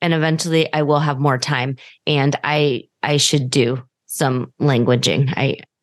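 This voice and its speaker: A woman speaks fairly slowly with a General American accent. Her pitch is very deep and low, and her intonation is monotone and flat. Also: very even loudness. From United States. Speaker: podcast host. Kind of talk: casual interview chat.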